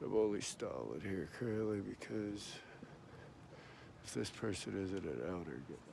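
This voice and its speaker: With audible room echo, a man with a very deep, low pitch and a dark, mellow tone speaks at a moderate pace using lively intonation. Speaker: vlogger. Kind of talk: casual walking vlog. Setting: outdoors. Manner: halting; quiet.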